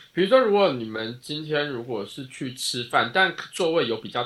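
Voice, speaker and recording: In a Taiwanese accent, a man speaks at a moderate pace. His fairly high pitch moves in very wide swings. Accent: Taiwanese Mandarin. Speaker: podcast co-host. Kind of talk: casual chat.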